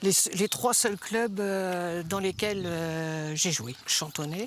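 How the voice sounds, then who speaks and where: With a medium pitch that varies in an ordinary way, a woman is speaking. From France, Vendée. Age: 70s. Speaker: retired handball player and club official. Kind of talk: TV interview. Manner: halting, many hesitations.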